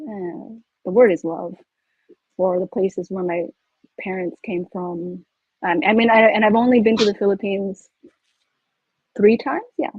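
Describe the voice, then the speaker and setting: A woman with a Californian accent, ordinary pitch variation, big swings in loudness and long, frequent pauses. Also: medium pitch for a woman, moderate pace. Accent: Californian American English. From US, California Bay Area (Milpitas). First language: Pangasinan. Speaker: author. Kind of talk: panel discussion. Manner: halting, many false starts.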